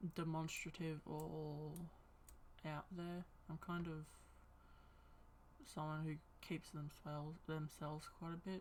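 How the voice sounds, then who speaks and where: Quiet and at a fairly slow pace, a woman with an Australian accent speaks at a very deep, low pitch, her loudness very even and her speech broken by long, frequent pauses. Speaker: streamer. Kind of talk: casual chat. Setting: live stream. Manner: not very enthusiastic-sounding.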